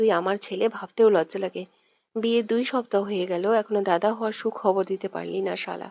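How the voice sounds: With a quiet background behind it, a natural reading voice carries the text.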